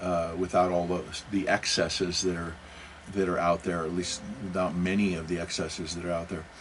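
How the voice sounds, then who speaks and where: With an American accent, a man speaks at a very deep, low pitch and a fairly quick pace. His intonation is monotone and flat, and room echo is audible. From US Pacific Northwest, Seattle and Portland. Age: 60s. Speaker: religious podcast host. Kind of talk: casual monologue. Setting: home recording studio. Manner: halting, many repetitions and restarts.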